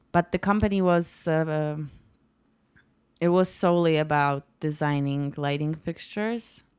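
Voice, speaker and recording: A woman with a Polish accent speaks at a fairly slow pace in a very deep, low pitch. The recording is very clean, with a silent background. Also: ordinary pitch variation. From Poland, Poznań. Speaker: lighting designer. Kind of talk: casual interview. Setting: home kitchen.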